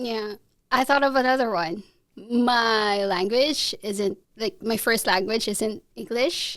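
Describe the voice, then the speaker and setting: A woman with a Filipino accent talks very slowly at a fairly high pitch, with ordinary pitch variation. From Philippines. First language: Tagalog. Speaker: international student and photographer. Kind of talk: podcast interview.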